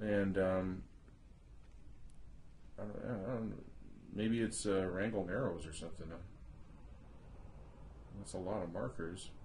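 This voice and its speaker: With a very deep, low pitch and vocal fry, a man talks at a fairly slow pace with ordinary pitch variation and long, frequent pauses. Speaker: interviewer, son of the subject. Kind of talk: casual conversation, oral history interview.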